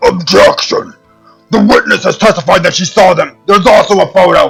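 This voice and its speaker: Doing a put-on character voice, a man speaks at a high pitch and moderate pace while faint music plays in the background. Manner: forceful.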